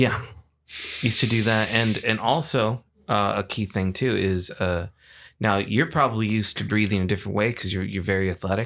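Delivered at a fairly quick pace, an unremarkable speaking voice with ordinary pitch variation comes through on a very clean recording with a silent background. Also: man, fairly low pitch for a man. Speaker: podcast co-host. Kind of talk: casual chat between friends, movie debate.

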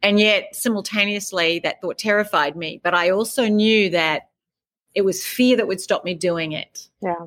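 In an Australian accent, a woman speaks at medium pitch and a moderate pace with ordinary pitch variation. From rural Australia. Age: 50s. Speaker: author and life coach. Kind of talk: interview.

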